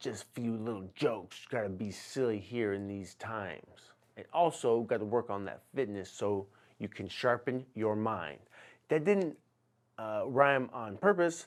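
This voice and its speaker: Medium-pitched male voice, animated and playful in tone, with lively intonation, big swings in loudness and a moderate pace, on a very clean recording with a silent background. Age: 40s. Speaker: personal trainer and podcast host. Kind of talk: casual solo podcast monologue. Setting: in a truck. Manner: animated, playful.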